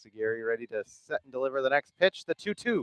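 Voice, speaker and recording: A man speaks at a moderate pace with a dry, close sound and no echo. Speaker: sports play-by-play commentator. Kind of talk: live commentary. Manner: loud, raised over wind.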